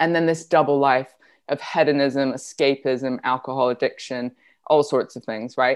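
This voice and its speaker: Against a quiet background, a woman speaks at a moderate pace in a very deep, low pitch with fairly even intonation. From grew up in communes abroad (Brazil, India, Kenya, Russia). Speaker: mental health consultant and psychotherapist. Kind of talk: interview podcast.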